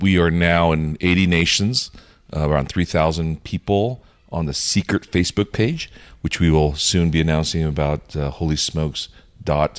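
Very deep, low male pitch at a moderate pace with ordinary pitch variation. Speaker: cigar group founder. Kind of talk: casual chat.

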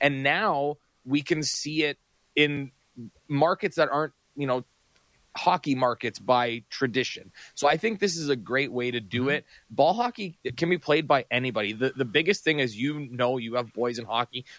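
A man with an ordinary speaking voice talks at a moderate pace, his pitch fairly high and its variation ordinary, in a dry, close sound with no echo. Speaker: radio producer. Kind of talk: casual radio chat.

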